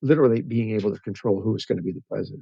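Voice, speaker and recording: With an American accent, a man talks in a fairly low voice with a dark, mellow tone and ordinary pitch variation, the sound dry and close with no echo. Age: 70s. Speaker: retired pastor and rancher. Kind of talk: casual interview conversation.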